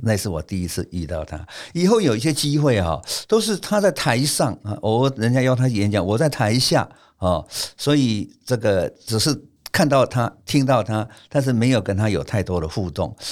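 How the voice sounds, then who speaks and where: A man talks at a moderate pace with a medium pitch and very wide pitch swings. The recording is very clean, with a silent background. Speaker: architecture professor. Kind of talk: storytelling interview.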